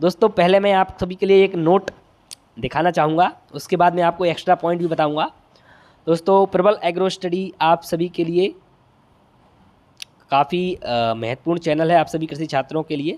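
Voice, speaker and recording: Recorded with a dry, close sound and no echo, a man with a high pitch speaks with ordinary pitch variation and long, frequent pauses. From Bundelkhand, India. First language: Bundeli (speaking Hindi). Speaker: agriculture exam tutor. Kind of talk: tutorial. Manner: halting.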